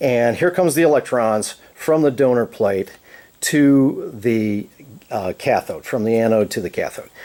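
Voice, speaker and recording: A man with a dark, mellow tone and a medium pitch speaks at a fairly slow pace with ordinary pitch variation. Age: 60s. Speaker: inventor demonstrating energy cells. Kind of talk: informal technical explanation. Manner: halting, many fillers and restarts.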